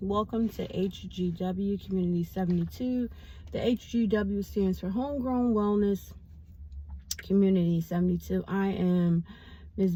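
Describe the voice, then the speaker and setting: A woman's dark, mellow, somewhat breathy voice at medium pitch, with ordinary pitch variation and a moderate pace. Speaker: vlogger. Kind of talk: casual vlog monologue.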